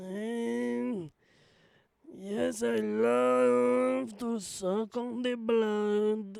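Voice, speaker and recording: A put-on character voice sits at a middle pitch and moves very slowly. Its pitch swings very widely. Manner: creepy, seductive.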